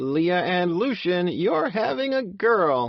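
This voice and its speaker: This man uses a put-on character voice with a high pitch and very wide pitch swings. He talks at a fairly slow pace. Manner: excited, announcing.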